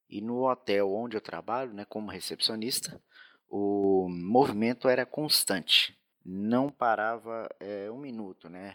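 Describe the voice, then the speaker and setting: At a fairly slow pace, a man with fairly low pitch and ordinary pitch variation shows big swings in loudness, recorded very cleanly with a silent background and a dry, close sound with no echo. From Minas Gerais, Brazil. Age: 20s. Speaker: hotel receptionist and motorcycle courier. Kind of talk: recorded personal testimony. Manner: halting, many fillers.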